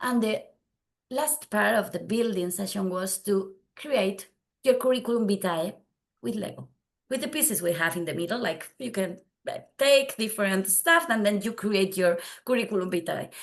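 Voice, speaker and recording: Speaking at a medium pitch with a Spanish accent, a woman uses lively intonation. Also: moderate pace. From Spain. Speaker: data visualization consultant. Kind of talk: conference tutorial. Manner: halting non-native speech.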